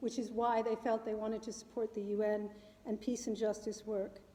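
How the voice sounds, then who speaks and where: A woman speaks with an American accent at a moderate pace. Background noise is noticeable. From New York City, US. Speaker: climate policy adviser. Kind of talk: public talk. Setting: meeting hall with live audience. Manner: loud.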